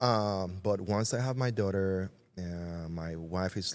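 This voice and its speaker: A man with a Puerto Rican accent speaks in a very deep, low voice, recorded very cleanly against a silent background. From Puerto Rico. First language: Spanish. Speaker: retired army veteran, entrepreneur. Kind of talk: interview answer.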